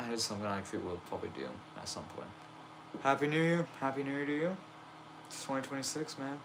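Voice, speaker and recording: A man's lively, fairly quick delivery over noticeable background noise. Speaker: wrestling toy fed streamer. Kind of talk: casual live stream chat. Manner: casual, hesitant with fillers.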